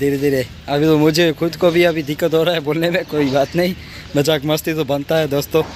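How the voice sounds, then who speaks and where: A man speaks at a moderate pace with fairly even intonation and very even loudness. The sound is dry with no echo, over light background noise. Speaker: vlogger. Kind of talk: casual vlog chat.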